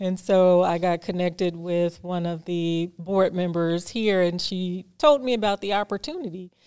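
Hardly pausing, a woman speaks at a moderate pace in an unremarkable speaking voice of medium pitch, with ordinary pitch variation. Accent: American. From Chicago, near Hammond, Indiana. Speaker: market executive director. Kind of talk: interview.

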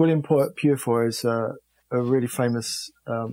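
A man with a London accent speaks in a dark, mellow tone. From London, England. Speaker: rock guitarist. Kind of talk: interview. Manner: halting.

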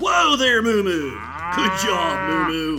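A put-on character voice at a middle pitch, with clear music in the background. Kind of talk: comic children's western play. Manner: cheerful, folksy, hammy.

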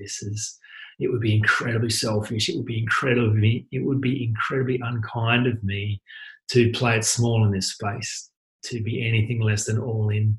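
His intonation is monotone and flat. The man's medium-pitched voice is somewhat breathy. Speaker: podcast host and life coach. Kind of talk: solo monologue. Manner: fast.

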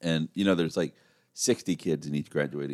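This man speaks at a fairly quick pace with an American accent, fairly even intonation and some vocal fry. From Oklahoma, Tulsa. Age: 40s. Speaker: comedy festival organizer. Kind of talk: casual chat.

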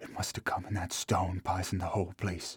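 A man speaks in a very deep, low voice. His tone is somewhat breathy. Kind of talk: dramatized character voice within narration. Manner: halting, broken, dazed, rural dialect.

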